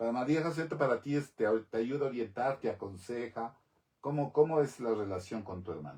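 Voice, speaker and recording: A man with a dark, mellow tone and a somewhat breathy voice speaks at a fairly quick pace, his intonation lively. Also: medium pitch for a man. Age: 60s. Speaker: talk show host. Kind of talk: interview.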